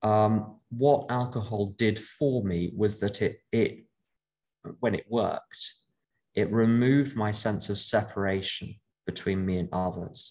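A man with a normal speaking voice talks at a fairly slow pace. His pitch is fairly low and his intonation fairly even. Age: 50s. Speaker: AA speaker and sponsor. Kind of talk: talk to a recovery meeting. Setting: video call.

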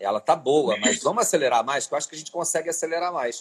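This man's pitch sits fairly high. Vocal fry runs through his voice. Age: 40s. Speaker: cultural manager and curator. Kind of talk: interview.

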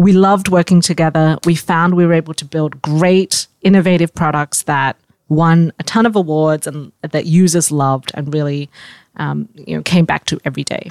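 A woman speaks with an Australian accent at a very deep, low pitch. Her intonation is fairly even, and the sound is dry and close with no echo. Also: moderate pace. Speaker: startup founder and CEO. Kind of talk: interview.

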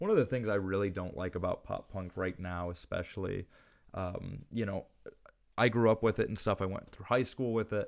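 Against a quiet background, a man with an ordinary speaking voice talks at a moderate pace in a fairly low pitch with ordinary pitch variation. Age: 20s. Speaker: music podcast co-host. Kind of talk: casual chat.

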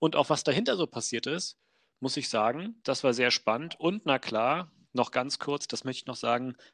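At a moderate pace and fairly high pitch, a man speaks in a normal speaking voice with ordinary pitch variation, the sound dry and close with no echo and the background quiet. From Wolfsburg, Lower Saxony, Germany. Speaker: podcast co-host. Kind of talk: casual chat.

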